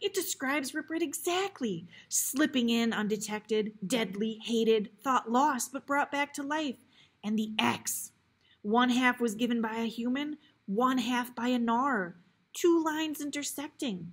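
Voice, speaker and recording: A female-sounding voice does a put-on character voice, shaky and high-pitched. It moves at a moderate pace. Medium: read story.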